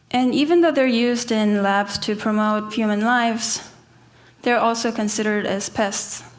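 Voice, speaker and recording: The speech comes at a moderate pace with fairly even intonation and very even loudness, over noticeable background noise and audible room echo. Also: woman, fairly high pitch for a woman. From South Korea, Seoul. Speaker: artist. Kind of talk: conference talk.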